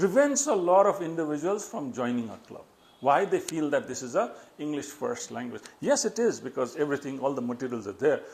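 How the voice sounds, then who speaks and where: Fairly high in pitch, a man talks at a fairly quick pace with very wide pitch swings and big swings in loudness. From Nepal. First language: Newari. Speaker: public speaking trainer. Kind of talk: educational talk.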